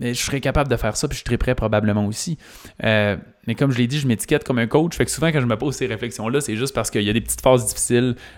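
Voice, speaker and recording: A man talks at a very fast pace with vocal fry, recorded very cleanly against a silent background. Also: medium pitch for a man, ordinary pitch variation. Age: 30s. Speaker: business coach and podcast host. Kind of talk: solo podcast monologue.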